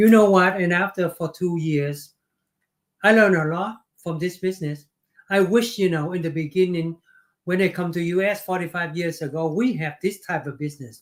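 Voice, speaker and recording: Speaking at a moderate pace with fairly even intonation, a man with a Vietnamese accent has a high pitch. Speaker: business owner. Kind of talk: interview. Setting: livestream.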